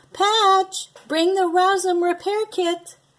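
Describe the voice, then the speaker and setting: In a squeaky, put-on character voice, the speaker goes at a very slow pace with monotone, flat intonation. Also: woman, extremely high pitch for a woman. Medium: read story. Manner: friendly, polite.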